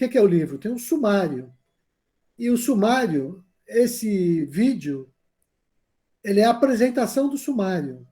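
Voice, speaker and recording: A man speaks at a high pitch with a dark, mellow tone, very wide pitch swings, a fairly slow pace and long, frequent pauses. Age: 60s. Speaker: university meditation teacher. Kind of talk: lecture. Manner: casual, conversational.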